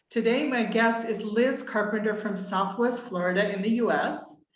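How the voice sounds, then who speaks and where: Someone with an American accent talks with audible room echo around the voice. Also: woman. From Utah, US. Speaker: podcast host. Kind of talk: interview.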